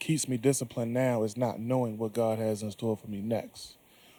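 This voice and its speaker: A soft-spoken man with an American accent, medium in pitch, with a dark, mellow tone and fairly even intonation. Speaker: shooting survivor and fitness speaker. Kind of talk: panel discussion.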